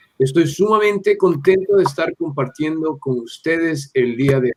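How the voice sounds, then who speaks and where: A man's fairly high voice, a normal speaking voice, at a moderate pace with ordinary pitch variation and big swings in loudness. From Ecuador, Quito. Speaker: missionary. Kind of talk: podcast interview. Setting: video call.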